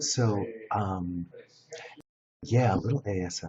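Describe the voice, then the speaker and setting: Quietly, a man says his words. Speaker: live streamer. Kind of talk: casual chat. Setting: live stream in a shared space. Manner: hushed, speaking low.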